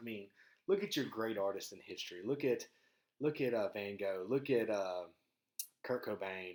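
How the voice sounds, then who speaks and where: At a moderate pace, a man with a medium-pitched voice and ordinary pitch variation speaks in a strong Southern US accent. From US South, rural Mississippi. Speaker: podcast host. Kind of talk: casual monologue. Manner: halting, many fillers and repeats.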